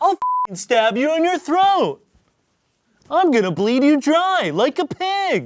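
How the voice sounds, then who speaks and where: Using a put-on character voice, a man speaks at an extremely high pitch with very wide pitch swings. His pace is fairly slow, with sound effects in the background. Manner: menacing, threatening.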